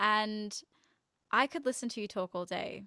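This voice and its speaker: Recorded very cleanly with a silent background and a dry, close sound with no echo, a woman at medium pitch speaks in a bright, sharp tone with vocal fry and fairly even intonation. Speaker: podcast host. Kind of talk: casual chat. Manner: fast.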